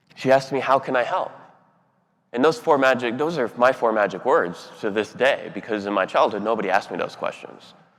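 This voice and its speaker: With an ordinary speaking voice, a man talks at a fairly quick pace, with medium pitch and ordinary pitch variation. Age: 30s. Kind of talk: keynote speech.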